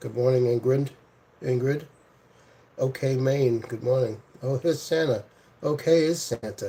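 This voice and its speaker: At a moderate pace, a man with a medium pitch and ordinary pitch variation speaks with long, frequent pauses. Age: 60s. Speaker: livestreamer. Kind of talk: casual chat. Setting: live stream. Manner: relaxed.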